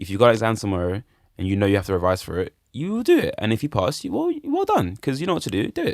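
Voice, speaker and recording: In a London accent, a man talks at a very fast pace with an animated tone, the sound dry and close with no echo. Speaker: musician. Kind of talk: casual chat.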